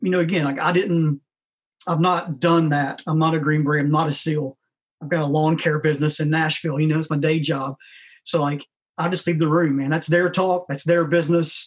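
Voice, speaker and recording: The delivery is fairly quick. Intonation stays flat and monotone throughout. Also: man, fairly high pitch for a man. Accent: Tennessee. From US South, rural West Tennessee. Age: 40s. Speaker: founder of an outdoor nonprofit for special forces. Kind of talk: casual chat.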